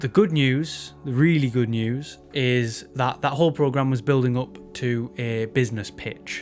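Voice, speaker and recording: Over music in the background, the speaker talks at a moderate pace with a Teesside accent. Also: man. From northern England, Teesside. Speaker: photographer and video maker. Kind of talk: casual vlog update.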